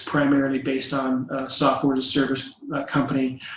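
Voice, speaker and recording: This man has a fairly high pitch. Audible room echo surrounds his voice. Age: 50s. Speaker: company CEO. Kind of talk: business presentation. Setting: home office. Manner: hesitant, many fillers.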